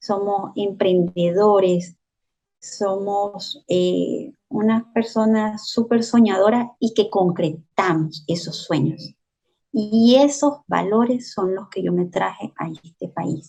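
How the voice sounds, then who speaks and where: A woman speaks at a very slow pace in a medium pitch, with ordinary pitch variation and a dark, mellow tone. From Venezuela, Valera, Trujillo state (Andes). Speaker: social worker and journalist, migrant. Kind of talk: interview testimony. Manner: hesitant, repeats words.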